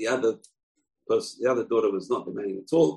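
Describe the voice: A man talks with lively intonation, a slightly mellow tone, a slightly husky edge and vocal fry.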